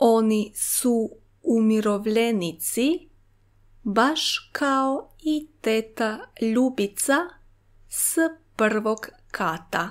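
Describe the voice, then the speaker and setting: A woman's fairly high voice with ordinary pitch variation at a very slow pace, long, frequent pauses, and a very clean recording with a silent background. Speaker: language teacher. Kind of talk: reading aloud.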